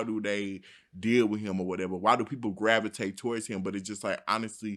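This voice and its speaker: A loud man's voice, bright and sharp in tone, fairly low in pitch, on a very clean recording with a silent background. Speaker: podcast host. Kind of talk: casual chat.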